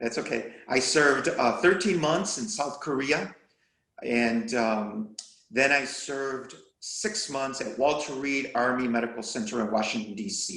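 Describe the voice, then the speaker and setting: A man speaks at a fairly slow pace and a medium pitch. He has an ordinary speaking voice. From Chicago, US (born in Mexico). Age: 60s. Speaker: retired deacon and army veteran. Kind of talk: interview.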